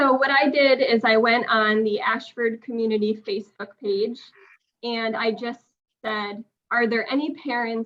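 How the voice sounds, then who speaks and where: With a New England accent, a woman of fairly high pitch speaks at a fairly slow pace with fairly even intonation. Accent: New England American. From Connecticut, US. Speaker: parent. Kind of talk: public comment at a town meeting. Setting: town commission meeting.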